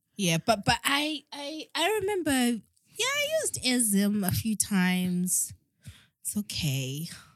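A woman's fairly high, somewhat breathy voice at a very slow pace, with very wide pitch swings and a dry, close sound with no echo. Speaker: podcast co-host. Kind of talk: casual chat.

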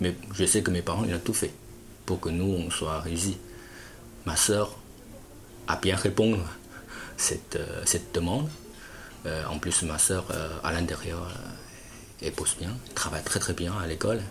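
Speaking with a Chinese accent, a man uses a very deep, low pitch at a fairly slow pace with long, frequent pauses. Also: ordinary pitch variation. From China. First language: Chinese (speaking French). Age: 30s. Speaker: importer-exporter. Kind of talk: interview. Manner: halting.

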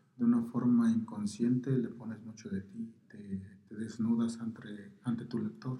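A man speaks at a fairly slow pace with fairly even intonation. His tone is dark and mellow and somewhat breathy. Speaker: poet. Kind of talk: interview through an interpreter. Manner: halting, many fillers.

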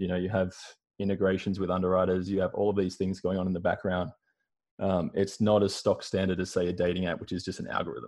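A man talks at a very fast pace with an Australian accent. His very deep, low voice holds a monotone, flat intonation. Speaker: marketing consultant. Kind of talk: casual interview chat. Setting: video call from home.

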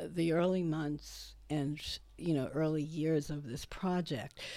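In a Brooklyn accent, a woman speaks with very deep, low pitch and a dark, mellow tone. Her intonation is fairly even, and the recording is very clean with a silent background. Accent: Brooklyn New York. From Brooklyn, New York (South Brooklyn near Coney Island). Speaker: photographer and author. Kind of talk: interview.

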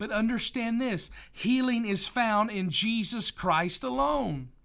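At a fairly slow pace, the voice comes through a very clean recording with a silent background. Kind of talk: sermon. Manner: earnest, emphatic pulpit delivery that urges listeners to 'hear me'; warm and conversational, with repeated 'right?' and 'listen'.

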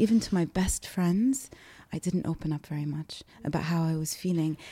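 Somewhat breathy and dark, mellow in tone, a woman speaks at a fairly low pitch and a fairly quick pace with ordinary pitch variation. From Kuwait, raised in many places. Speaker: poet and oral historian. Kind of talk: interview conversation.

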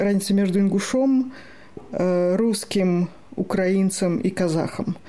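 Noticeable background noise sits behind the speaker. A woman talks in a medium pitch with fairly even intonation. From Moscow, Russia. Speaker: writer and human rights activist. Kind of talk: interview.

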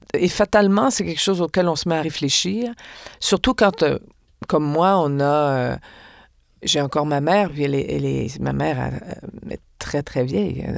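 The intonation is lively. Long, frequent pauses break up the speech. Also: woman, very deep, low pitch for a woman. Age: 60s. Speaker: actress and stage director. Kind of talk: interview conversation.

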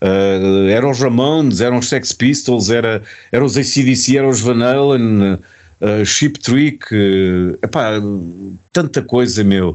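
Against a quiet background, a man speaks very slowly with a European Portuguese accent. His pitch is medium, with ordinary variation. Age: 50s.

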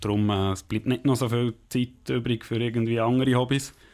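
A man's fairly low voice, with ordinary rises and falls in pitch, comes through a very clean recording over total silence. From Switzerland, Bern region (Langenthal). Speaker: ice hockey player. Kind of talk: interview.

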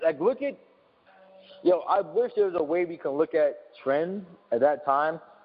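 With lively intonation and a high pitch, a man speaks at a moderate pace, pausing long and often. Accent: New York. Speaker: visual artist. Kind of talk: casual chat. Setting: studio.

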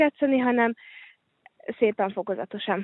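A woman speaks in a fairly high pitch with fairly even intonation. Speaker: handball player. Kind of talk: interview.

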